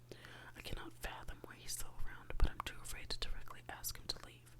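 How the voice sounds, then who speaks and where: The whispering moves along at a fairly quick pace. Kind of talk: ASMR bedtime reading of a novel. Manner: soft-spoken.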